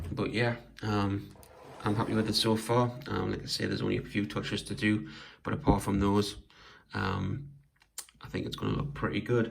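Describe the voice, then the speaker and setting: Speaking at a moderate pace with long, frequent pauses, a man with a fairly low pitch and vocal fry is heard amid audible room echo. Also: ordinary pitch variation. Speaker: toy collector and diorama maker. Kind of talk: casual show-and-tell video. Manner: hesitant, many fillers.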